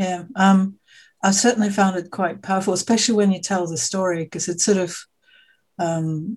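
A woman speaks at a moderate pace in a fairly low pitch. Her voice is somewhat breathy, with fairly even intonation. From Australia. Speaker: podcast host. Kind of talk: interview conversation.

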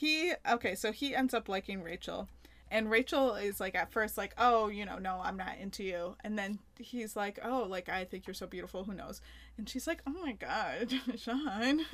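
A woman's fairly high voice at a moderate pace with lively intonation, a plain, everyday voice on a very clean recording with a silent background. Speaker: podcast host. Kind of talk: casual banter between spouses.

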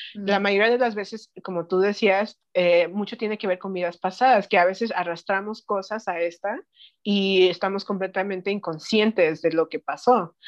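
Using a plain, everyday voice, a woman of medium pitch talks at a moderate pace with fairly even intonation. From Mexico City and Knoxville, Tennessee. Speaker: spiritual practitioner. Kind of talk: interview.

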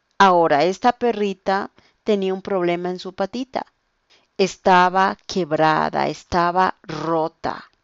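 A woman at a medium pitch and very slow pace, with fairly even intonation and big swings in loudness. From Ecuador, Quito. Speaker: language teacher. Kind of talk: language-learning podcast monologue.

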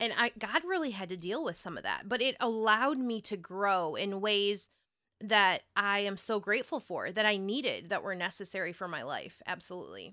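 Heard in a very clean recording with a silent background, a woman with an American accent has a bright, sharp tone, a medium pitch and ordinary pitch variation. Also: moderate pace. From Ohio. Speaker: marriage podcast co-host. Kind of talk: casual chat.

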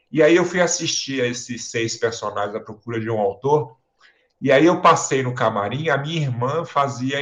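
Medium in pitch with ordinary pitch variation, the voice belongs to a man. He speaks at a moderate pace. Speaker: theatre director and professor. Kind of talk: casual interview.

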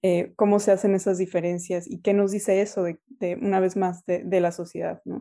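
Dark and mellow in tone, a woman's medium-pitched voice moves at a moderate pace. The recording is very clean, with a silent background. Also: fairly even intonation. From Mexico City. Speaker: political science professor. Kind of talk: interview. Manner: halting, many fillers.

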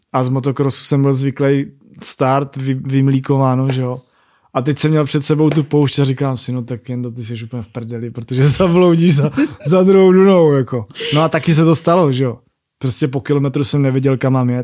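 Dark and mellow in tone, a man's fairly high-pitched voice moves at a moderate pace with ordinary pitch variation. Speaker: rally raid and motocross racer. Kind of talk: casual interview.

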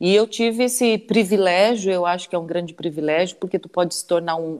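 Woman at a fairly quick pace, fairly low-pitched with ordinary pitch variation, an unremarkable speaking voice. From southern Santa Catarina, Brazil. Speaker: radio host. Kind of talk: live interview.

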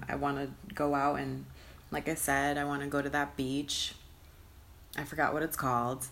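In a very deep, low voice with vocal fry, a woman speaks in a flat monotone broken by long, frequent pauses. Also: moderate pace. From US Northeast, Connecticut (Hartford area). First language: Spanish. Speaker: solo podcaster. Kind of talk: casual monologue. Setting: sitting on bed in own room.

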